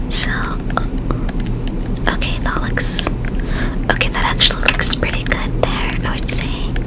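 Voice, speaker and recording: Loud noise fills the background as the words come out very slowly. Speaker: ASMR gaming content creator. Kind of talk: ASMR gaming video, relaxed talk while playing a game. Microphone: studio mic.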